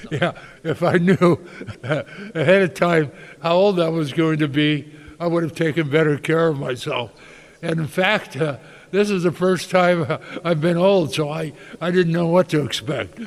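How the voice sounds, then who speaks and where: A high-pitched male voice with an American accent, ordinary pitch variation and a moderate pace. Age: 80s+. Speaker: winery owner. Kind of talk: interview. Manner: halting.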